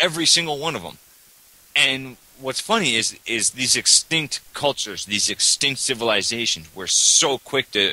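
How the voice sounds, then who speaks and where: A man with a Canadian accent talks at a moderate pace in a medium pitch, his tone bright and sharp and his intonation lively, in a dry, close sound with no echo. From Canada. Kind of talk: casual debate chat on religion.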